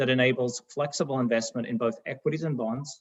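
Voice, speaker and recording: At a fairly quick pace, a man of medium pitch speaks with ordinary pitch variation in a dry, close sound with no echo. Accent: Australian. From Australia. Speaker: fund manager. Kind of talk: presentation. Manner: formal.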